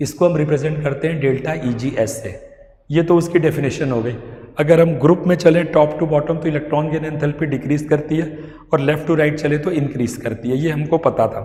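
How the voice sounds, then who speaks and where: Audible room echo surrounds a man speaking at a moderate pace with a fairly high pitch and fairly even intonation. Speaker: chemistry teacher. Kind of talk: lecture.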